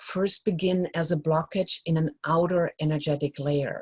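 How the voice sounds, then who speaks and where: A woman's normal speaking voice, fairly low in pitch with ordinary variation, at a moderate pace in a dry, close sound with no echo. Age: 60s. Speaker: joy coach, energy healer. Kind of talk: talk at a live event, teaching and personal story.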